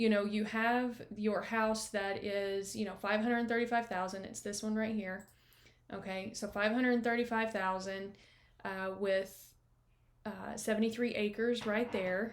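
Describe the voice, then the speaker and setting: A woman with a fairly high pitch speaks at a fairly slow pace in a monotone, flat intonation. Audible room echo surrounds her voice. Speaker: real estate agent. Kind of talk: screen-share walkthrough of property comparables. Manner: casual, many fillers.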